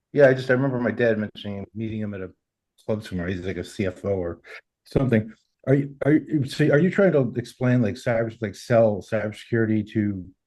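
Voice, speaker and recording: A man speaks very fast with a Boston accent. His medium-pitched voice has a dark, mellow tone and ordinary pitch variation. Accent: Boston American. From US, Boston. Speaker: workshop participant. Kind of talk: casual chat.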